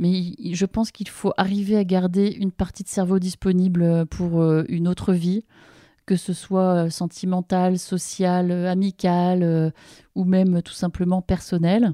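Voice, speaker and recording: In a very clean recording with a silent background, a woman talks at a very slow pace in a dark, mellow tone, her medium pitch held in a monotone, flat intonation. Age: 40s. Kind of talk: reading aloud from her book; interview conversation.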